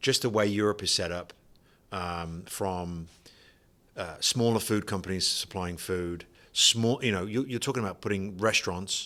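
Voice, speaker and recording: Here a man with a British accent talks at a moderate pace in a fairly low pitch. His tone is bright and sharp, and the recording is very clean with a silent background. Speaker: vacuum sealer distributor, company founder. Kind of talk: podcast interview.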